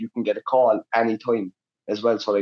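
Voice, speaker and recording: A man talks with a Cork accent. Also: dry, close sound with no echo. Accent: Cork Irish. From Ireland, Cork City. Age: 20s. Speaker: Muay Thai fighter. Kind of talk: casual chat.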